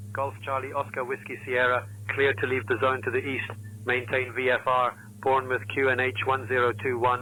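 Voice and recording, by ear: In a British accent, a man talks at a moderate pace with a medium pitch, a bright, sharp tone and monotone, flat intonation.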